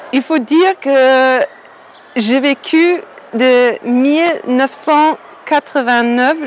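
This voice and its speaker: High-pitched woman's voice with a German accent and ordinary pitch variation, over noticeable background noise. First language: German (speaking French). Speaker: painter. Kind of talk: interview. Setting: outdoors. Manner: halting.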